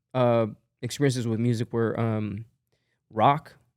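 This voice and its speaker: A man talks at a fairly slow pace. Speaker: musician and music producer. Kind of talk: casual interview chat. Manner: casual, many fillers.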